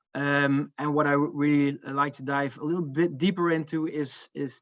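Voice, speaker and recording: Against a quiet background, a man with a Dutch accent speaks in a monotone, flat intonation. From Netherlands. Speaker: marketing manager presenting research. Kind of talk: conference talk. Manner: hesitant, many fillers.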